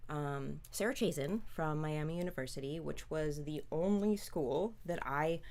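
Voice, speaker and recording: Audible room echo surrounds a woman with an American accent who speaks fairly slowly at a very deep, low pitch with ordinary pitch variation. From US Midwest (Chicago and southern Ohio). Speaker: film actress. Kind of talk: interview. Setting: livestream.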